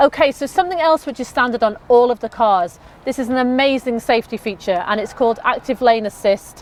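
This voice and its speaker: A woman's animated, high-pitched voice at a fairly quick pace, with ordinary pitch variation and a dry, close sound with no echo. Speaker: car sales presenter. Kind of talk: product walkthrough. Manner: fast.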